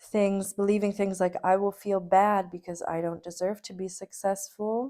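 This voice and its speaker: The voice has a dark, mellow tone. Its intonation is monotone and flat. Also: woman. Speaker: vlogger reflecting on creative practice. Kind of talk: personal video diary. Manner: hesitant with many fillers; slower, calmer.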